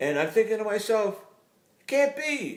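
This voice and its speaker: The speaker is a man. He keeps to a moderate pace. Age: 80s+. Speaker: retired urologist. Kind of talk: casual opinion talk to camera.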